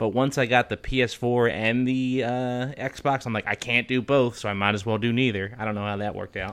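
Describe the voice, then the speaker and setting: This man has an American accent and a medium pitch. He talks at a fairly quick pace with fairly even intonation and hardly any pauses. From Philadelphia, US. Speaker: podcast co-host. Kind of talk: casual chat. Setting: remote recording with microphone.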